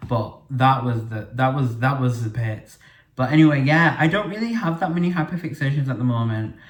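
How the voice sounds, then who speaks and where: With audible room echo, a man in a Yorkshire accent talks at a fairly quick pace and medium pitch. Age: 20s. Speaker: podcast host. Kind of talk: casual monologue. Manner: chatty, filler-heavy.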